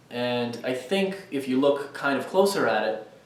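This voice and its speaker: A man speaks at a very slow pace. The room echo is audible and the background noise is noticeable. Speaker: student vlogger. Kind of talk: casual vlog monologue. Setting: outdoors walking on campus. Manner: hesitant, many fillers.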